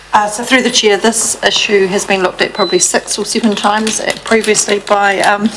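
A woman speaks at a moderate pace while noticeable background noise runs beneath her. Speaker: council staff officer. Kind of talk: meeting report answer. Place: meeting room. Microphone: podium.

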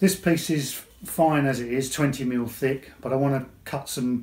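A man speaks in a somewhat breathy voice. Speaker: woodworking channel host. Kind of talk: tutorial. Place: workshop. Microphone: lapel.

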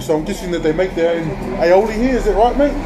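A high-pitched man's voice with ordinary pitch variation over music in the background. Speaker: food vlogger. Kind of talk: casual vlog chat. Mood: relaxed, friendly. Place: cafe. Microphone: phone near.

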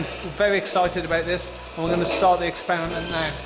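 With clear music in the background, a man speaks at a high pitch in a monotone, flat intonation. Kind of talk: explanatory commentary to camera. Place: stage. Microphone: camera far.

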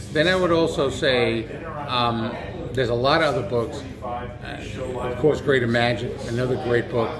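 Behind a man talking at a fairly slow pace, there is noticeable background noise. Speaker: magician. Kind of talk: interview. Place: hall.

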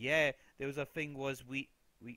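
With a British accent, a man speaks at medium pitch in a bright, sharp tone. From Britain. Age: young. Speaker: political commentary youtuber. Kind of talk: casual commentary monologue. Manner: animated.

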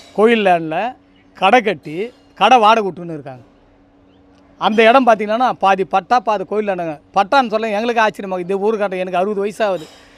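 A man speaks in a high voice, his pitch varying in an ordinary way. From Tamil Nadu, Tiruvallur area. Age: 60s. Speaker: local resident, community spokesperson. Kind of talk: street interview, complaint to press.

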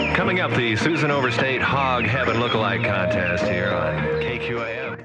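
A man talks at a moderate pace, barely pausing. Loud music plays behind him. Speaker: radio DJ. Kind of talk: AM radio DJ patter between songs. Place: studio. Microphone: old recording.

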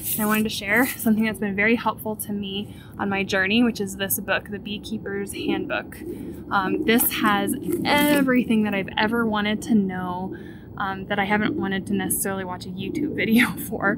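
Loud background noise is heard behind a woman. She speaks at a fairly quick pace with ordinary pitch variation. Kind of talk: casual vlog chat. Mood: relaxed, friendly. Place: garden. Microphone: phone near.

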